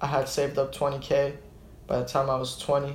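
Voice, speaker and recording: A man speaks in a fairly high, somewhat breathy voice. Audible room echo surrounds the recording. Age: 20s. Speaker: small business owner. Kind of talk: casual chat.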